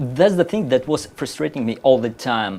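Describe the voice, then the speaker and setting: A man speaks with a Russian accent. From Uzbekistan (Tashkent). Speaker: map designer. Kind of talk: casual interview chat.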